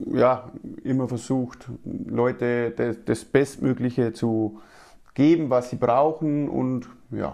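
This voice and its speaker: In a Bavarian accent, a man of medium pitch speaks with a dark, mellow tone and fairly even intonation. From Lower Bavaria (Passau), Germany. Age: 30s. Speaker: sales agent, insurance broker. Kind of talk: interview.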